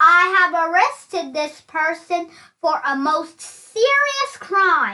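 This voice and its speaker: A woman performs a put-on character voice at an extremely high pitch. She speaks very slowly, her pitch swinging very widely. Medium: read story. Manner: gloomy.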